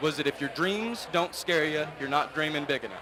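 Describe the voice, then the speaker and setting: A man with an American accent talks at a fairly quick pace in a fairly high pitch. His pitch varies in an ordinary way, and there is noticeable background noise. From California. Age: 20s. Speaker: livestock show judge. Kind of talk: speech to show audience.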